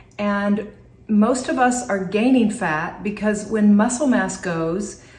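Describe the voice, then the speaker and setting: A woman at a fairly slow pace, with audible echo from the room. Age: 60s. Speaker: functional nutritionist. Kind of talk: health tutorial to camera.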